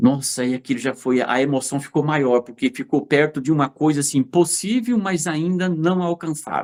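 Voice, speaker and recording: Animated and lively in intonation, a man speaks at a fairly high pitch and a moderate pace. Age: 60s. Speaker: fruit and vegetable business owner. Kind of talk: interview storytelling. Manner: animated, hesitant repetitions.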